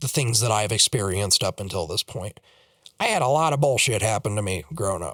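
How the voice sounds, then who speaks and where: Dry and close with no echo, a man with an American accent talks with lively intonation on a very clean recording with a silent background. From Colorado. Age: 18. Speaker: YouTuber. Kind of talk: personal vlog monologue. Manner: halting, repetitive fillers.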